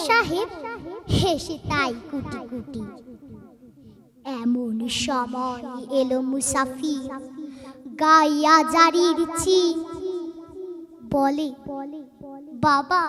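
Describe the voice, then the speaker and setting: Over noticeable background noise, the voice is raised and projected, with lively intonation. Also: woman. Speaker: poetry reciter. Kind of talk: poetry reading. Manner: emotional, expressive.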